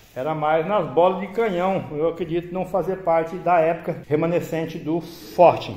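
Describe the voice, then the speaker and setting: A man with a high pitch talks at a moderate pace with ordinary pitch variation. Noticeable background noise is present. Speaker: travel vlogger living in a motorhome. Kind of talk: travel vlog tour narration. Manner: casual with frequent hesitations.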